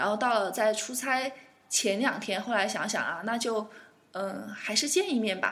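Talking at a fairly quick pace, a woman with a fairly high pitch uses lively intonation amid audible room echo. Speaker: aviation worker, guest co-host. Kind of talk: casual chat.

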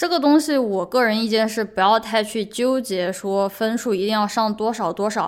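On a very clean recording with a silent background, a woman with a fairly high pitch talks at a moderate pace with ordinary pitch variation in a plain, everyday voice. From China. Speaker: podcast host; PhD student. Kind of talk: solo monologue podcast. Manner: casual, conversational.

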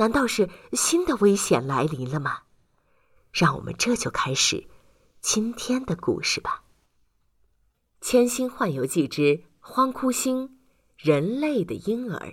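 The speech comes at a fairly slow pace with long, frequent pauses and big pitch swings. The voice has a slightly husky edge, and the recording is very clean with a silent background. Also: woman, medium pitch for a woman.

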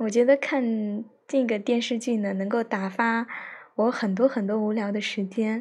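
A somewhat breathy woman at a fairly slow pace, her intonation fairly even. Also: fairly high pitch for a woman. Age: 20s. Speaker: podcaster, teacher. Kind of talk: personal monologue. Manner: halting, many fillers. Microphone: phone mic.

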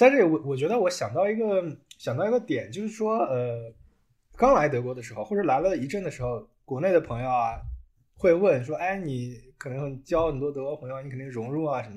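Against a quiet background, a man with a fairly high pitch talks at a fairly quick pace, his pitch swinging very widely and his loudness rising and falling sharply. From China. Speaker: automotive engineer. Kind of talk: casual chat.

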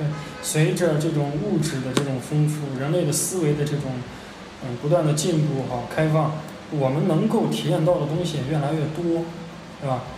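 This man's pitch sits fairly high, and his intonation stays fairly even at a moderate pace. Noticeable background noise and audible room echo fill the recording. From China, Xi'an. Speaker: podcast host, retail professional. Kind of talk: casual chat.

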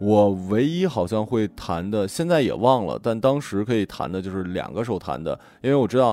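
A man talks at a moderate pace with hardly any pauses. His fairly low voice has a dark, mellow tone and lively intonation. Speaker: radio podcast host. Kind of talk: casual chat. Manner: broadcaster-style delivery.

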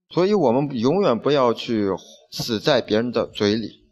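This man talks at a moderate pace in a medium pitch, an ordinary speaking voice against a quiet background. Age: 20s. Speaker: podcast host. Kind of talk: reading aloud.

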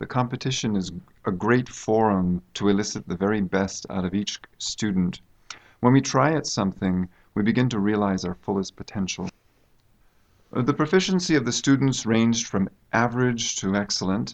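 Against a quiet background, a man with an American accent and an unremarkable speaking voice talks at a moderate pace, with a fairly low pitch and ordinary pitch variation. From United States. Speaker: university English teacher. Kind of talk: interview. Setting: studio.

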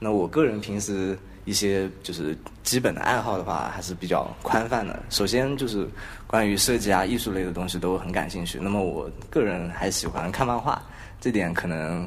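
A man with a fairly low voice talks at a moderate pace, with audible room echo around him. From Hangzhou, southern China. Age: 20s. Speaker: podcast co-host, design graduate student. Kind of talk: casual chat. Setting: university classroom.

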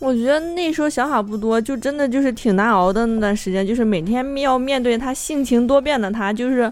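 A high-pitched woman talks at a fairly quick pace with hardly any pauses. Her pitch varies in an ordinary way. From Shandong. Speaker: writer's wife. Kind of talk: casual chat.

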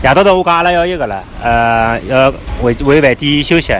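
Over music in the background, a man speaks at a fairly high pitch with lively intonation. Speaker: parent podcaster. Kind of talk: casual chat. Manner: animated.

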